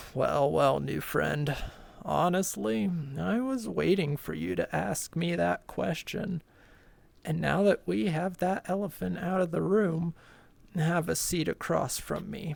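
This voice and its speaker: A raspy, put-on character voice delivers the lines at a fairly slow pace. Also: woman, fairly low pitch for a woman. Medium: virtual streamer. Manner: slow, grumbling.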